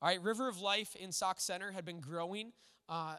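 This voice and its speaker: On a very clean, dry and close recording with a silent background and no echo, a man with an American accent projects a raised voice at high pitch, bright and sharp in tone, at a fairly quick pace with ordinary pitch variation. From Minnesota. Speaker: pastor. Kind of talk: sermon. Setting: church.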